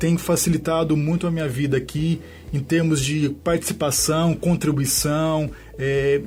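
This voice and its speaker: Spoken at a fairly slow pace with a Minas Gerais accent, the voice keeps a very even loudness and a monotone, flat intonation. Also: man, fairly high pitch for a man. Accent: Minas Gerais (mineiro). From southern Minas Gerais, Brazil. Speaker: lawyer. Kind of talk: radio interview. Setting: radio studio. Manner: hesitant, many fillers.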